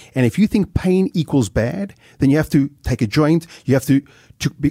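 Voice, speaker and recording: A man with a dark, mellow tone and a fairly high pitch speaks at a moderate pace, somewhat breathy, with lively intonation in a dry, close sound with no echo. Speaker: podcast host, speaker. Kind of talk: interview, casual chat. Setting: studio.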